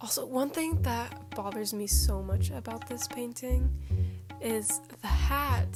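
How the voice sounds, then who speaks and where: A woman speaks with music in the background. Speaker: artist. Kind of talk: casual talk while drawing. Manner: relaxed, chill.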